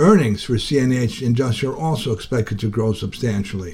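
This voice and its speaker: This man's voice is somewhat breathy with a dark, mellow tone. His intonation is lively. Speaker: labor radio reporter. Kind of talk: news reporting.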